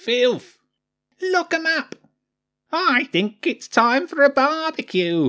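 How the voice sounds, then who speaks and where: This put-on character voice is high-pitched and squeaky, delivered at a very slow pace. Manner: jeering, hateful.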